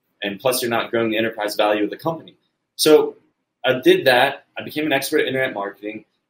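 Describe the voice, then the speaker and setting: This man has a normal speaking voice in a medium pitch. His pitch varies in an ordinary way. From United States. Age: 30s. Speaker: entrepreneur and marketing company founder. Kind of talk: interview.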